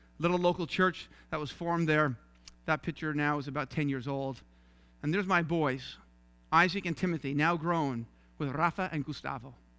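With long, frequent pauses, the voice has a bright, sharp tone in a very clean recording with a silent background. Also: man, fairly high pitch for a man, fairly even intonation. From Newfoundland, St. John's. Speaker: missionary preacher. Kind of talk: sermon. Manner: fast.

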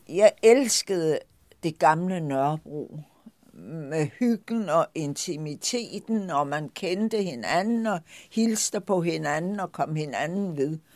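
A woman with a fairly low pitch talks at a very slow pace with lively intonation. The recording is very clean, with a silent background. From Denmark, Lolland. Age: 80s+. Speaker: shop owner. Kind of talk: personal storytelling.

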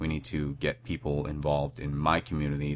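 With vocal fry and a very deep, low pitch, a man speaks with ordinary pitch variation. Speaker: podcast host and activist. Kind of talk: solo monologue. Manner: hesitant, many filler words.

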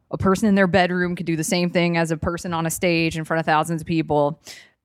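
A woman speaks at a fairly low pitch in an American accent. The recording is very clean, with a silent background. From US South, Atlanta, Georgia. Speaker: comedian. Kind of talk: casual chat. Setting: studio. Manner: loud.

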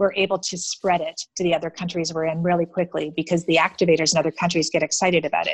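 A woman races along at a very fast pace with hardly any pauses, her fairly low voice flat and monotone, in a dry, close recording without echo. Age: 50s. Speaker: entrepreneur, founder of a women's funding network. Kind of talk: interview.

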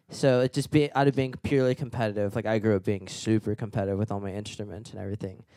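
Very fast speech from a man with a fairly low pitch and a dark, mellow tone, recorded with a dry, close sound and no echo. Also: ordinary pitch variation, hardly any pauses. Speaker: musician, guitarist. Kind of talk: casual chat. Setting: studio. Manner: halting, many fillers.

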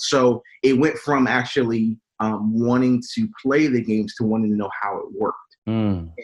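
An ordinary speaking voice with an American accent, this speaker keeps a moderate pace and ordinary pitch variation. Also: man, medium pitch for a man. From US Mid-Atlantic, Wilmington, Delaware. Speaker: minister and network engineer. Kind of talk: podcast interview.

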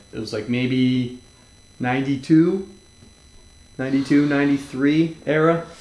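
Pausing long and often, a man with an American accent talks at a very slow pace and fairly high pitch amid audible room echo. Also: fairly even intonation. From Massachusetts (Newburyport). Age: 30s. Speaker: podcast host and skateboarder. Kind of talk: casual chat. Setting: at a friend's home.

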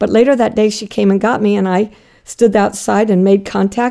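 At a moderate pace, a woman speaks in a dark, mellow tone with monotone, flat intonation. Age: 60s. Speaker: guest, massage therapist and zoo volunteer. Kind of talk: casual interview, storytelling.

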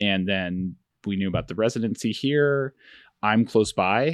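A man with an American accent and a normal speaking voice, at a moderate pace with ordinary pitch variation, in a dry, close sound with no echo and a very clean recording with a silent background. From Finger Lakes, New York. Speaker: photographic artist and educator. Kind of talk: interview conversation.

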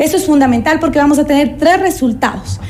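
Speech comes at a fairly quick pace with ordinary pitch variation. Audible room echo and noticeable background noise surround it. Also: woman. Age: 30s. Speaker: political candidate, lawyer. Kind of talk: radio interview.

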